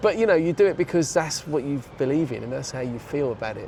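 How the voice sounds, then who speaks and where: There is noticeable background noise as a man speaks with a fairly high pitch. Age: 60s. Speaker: techno DJ. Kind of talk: casual chat.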